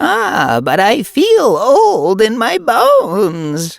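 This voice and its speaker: Someone uses a put-on character voice at a fairly high pitch and a very slow pace. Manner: creaky, mock-elderly.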